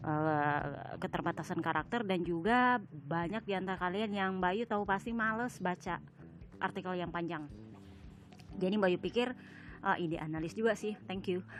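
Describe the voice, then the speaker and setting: A woman's unremarkable speaking voice at medium pitch and moderate pace, with ordinary pitch variation. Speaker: sports podcast host and writer. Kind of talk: casual podcast commentary. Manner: casual, with many fillers.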